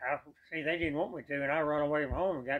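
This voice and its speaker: This man speaks very fast, with a Texan accent and a fairly high pitch. His intonation stays fairly even. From East Texas. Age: 90s. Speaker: war veteran. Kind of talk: interview.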